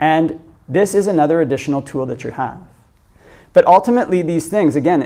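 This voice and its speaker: Over a silent background in a very clean recording, a man talks at a very fast pace in a dark, mellow tone with ordinary pitch variation. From Canada, Ontario. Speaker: Buddhist monk teacher. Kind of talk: dharma talk Q&A answer. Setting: meditation centre with audience.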